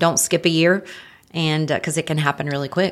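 This woman has a North Carolina accent and a very deep, low voice. Her intonation stays fairly even. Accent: Southern American (North Carolina). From Marion, North Carolina. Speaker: home health sales director, breast cancer survivor. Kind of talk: interview testimony.

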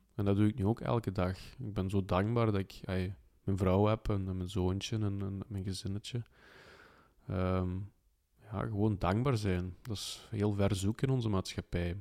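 In a very clean recording with a silent background, a man with a dark, mellow tone and a fairly low pitch speaks with fairly even intonation. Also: moderate pace. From Belgium (Flanders). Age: 30s. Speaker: life mentor. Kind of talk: interview.

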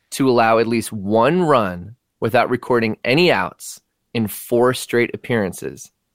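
Speaking at a fairly slow pace with an American accent, a man with a normal speaking voice and medium pitch comes through a very clean recording with a silent background and a dry, close sound with no echo. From Washington D.C. suburbs. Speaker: Nationals fan. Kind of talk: casual banter about baseball.

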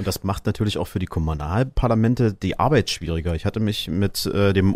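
On a very clean recording with a silent background, a man with a normal speaking voice and fairly low pitch speaks at a fairly quick pace with ordinary pitch variation. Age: 30s. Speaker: radio host. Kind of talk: casual discussion.

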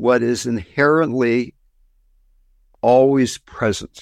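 A man with a medium pitch speaks at a very slow pace. The recording is very clean, with a silent background. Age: 80s+. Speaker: spiritual teacher. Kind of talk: dharma talk; guided meditation.

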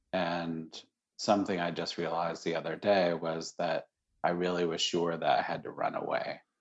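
A man with an American accent speaks at a moderate pace in a very deep, low pitch. His intonation stays monotone and flat. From US Northeast, Syracuse, New York. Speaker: Zen teacher and contemplative care founder. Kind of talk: interview conversation.

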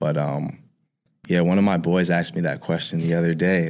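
The speaker has a New York accent and keeps a moderate pace. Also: man. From New York, Harlem. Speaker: music producer. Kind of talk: casual interview.

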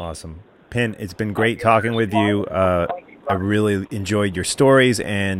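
In a plain, everyday voice with an American accent, the speaker uses ordinary pitch variation. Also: man, fairly low pitch for a man, moderate pace. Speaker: podcast host. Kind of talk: casual chat.

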